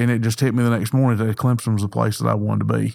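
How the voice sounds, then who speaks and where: The man's voice sits at a medium pitch. His intonation is flat and monotone. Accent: Southern US. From US South, north Georgia. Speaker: former pro football player turned insurance agent. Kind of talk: interview storytelling. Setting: studio.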